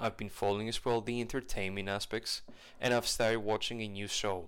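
This man talks in a normal speaking voice, medium in pitch and moderate in pace. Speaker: podcaster. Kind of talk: casual solo podcast monologue. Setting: home recording, video podcast. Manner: rambling, self-interrupting; informal and cheerful.

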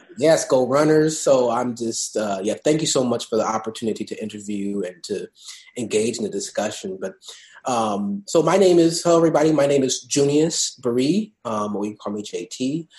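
A man with a normal speaking voice talks at a moderate pace in a medium pitch with lively intonation. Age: 20s. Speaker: state government policy fellow. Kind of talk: interview.

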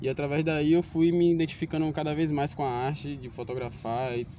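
At a moderate pace, a man with an ordinary speaking voice talks with fairly even intonation. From Salvador, Bahia, Brazil. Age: 20s. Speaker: street photographer. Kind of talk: casual interview. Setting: outdoors in a public square.

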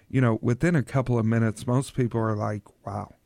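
An unremarkable speaking voice, a man with an American accent talks at medium pitch with fairly even intonation, on a very clean recording with a silent background and a dry, close sound with no echo. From Oklahoma. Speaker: store owner. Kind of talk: radio interview.

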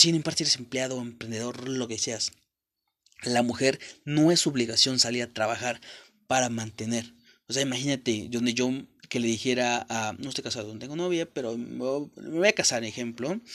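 A man with a medium pitch talks on a very clean recording over a silent background. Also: ordinary pitch variation, moderate pace. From Mexico, rural mountain village. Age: 20s. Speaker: motivational content creator. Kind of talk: motivational monologue. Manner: casual, profanity-laden.

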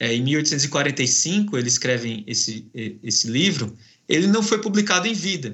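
A man speaks at a fairly slow pace with a fairly high pitch. His pitch swings very widely. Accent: northeastern Brazilian. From Brazilian Northeast. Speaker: professor. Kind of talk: academic interview. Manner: halting.

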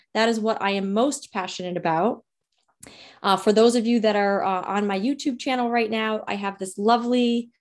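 Her speech at a moderate pace carries a Rhode Island accent, as this woman talks at a fairly high pitch with fairly even intonation on a very clean recording with a silent background. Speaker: pharmacist and sex therapist, podcast host. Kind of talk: casual monologue introduction. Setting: video recording with virtual background.

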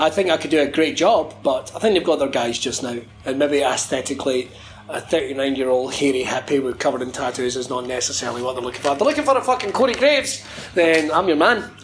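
A man with a Scottish accent talks at a very fast pace and a fairly high pitch over noticeable background noise. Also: ordinary pitch variation. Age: 30s. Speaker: wrestling commentator. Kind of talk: casual chat. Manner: animated.

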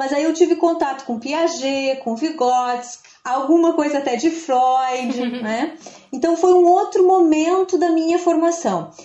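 A woman's high-pitched voice at a fairly slow pace, with ordinary pitch variation, hardly any pauses and noticeable background noise. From interior of Rio Grande do Sul, Brazil. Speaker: literature professor. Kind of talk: podcast interview. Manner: halting.

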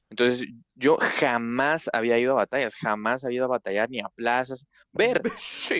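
With a plain, everyday voice, a man speaks at a medium pitch and a moderate pace, his intonation fairly even. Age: 20s. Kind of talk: casual chat.

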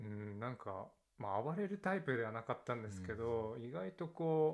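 Pitch swings very widely in this man's speech. His voice is medium in pitch and his pace moderate. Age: 20s. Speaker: university alumnus. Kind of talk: casual chat.

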